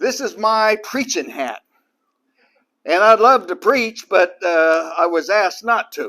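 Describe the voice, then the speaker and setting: Projecting a raised voice with a bright, sharp tone, a man talks at a very slow pace, his high pitch carried by lively intonation. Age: 70s. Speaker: retired business owner and lay preacher. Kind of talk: personal talk to an audience.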